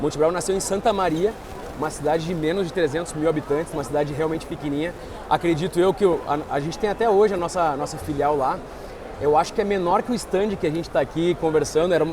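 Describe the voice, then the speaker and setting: Over noticeable background noise and audible room echo, a man with a southern Brazilian accent talks very fast at a fairly high pitch, his intonation fairly even. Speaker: investment firm partner. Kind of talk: interview. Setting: trade fair stand.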